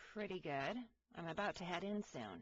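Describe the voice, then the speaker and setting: A raspy, put-on character voice comes through at a middle pitch and a moderate pace. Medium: read story. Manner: wry, guarded.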